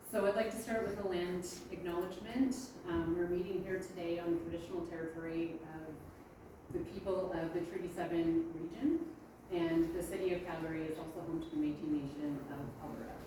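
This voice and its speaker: Quick-ish and fairly even in intonation, a woman speaks with a fairly low pitch. Noticeable background noise and audible room echo are present. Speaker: geoscientist presenting research. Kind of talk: conference presentation. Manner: loud. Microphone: speaking without the microphone.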